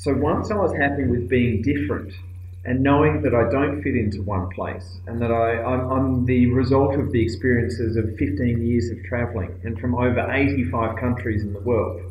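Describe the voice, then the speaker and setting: Someone with an Australian accent talks at a moderate pace with hardly any pauses and ordinary pitch variation. The recording has audible room echo and noticeable background noise. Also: man, medium pitch for a man. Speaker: aid worker and speaker. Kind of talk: recorded video talk. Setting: cold office room abroad. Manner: hesitant, many fillers.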